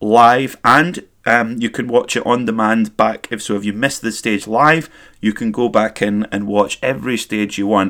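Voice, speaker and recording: In a very clean recording with a silent background, a man speaks with a Scottish accent. His pitch is medium and his pace fairly slow. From Scotland, Perth area. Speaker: motorsport podcast host. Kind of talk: solo podcast commentary.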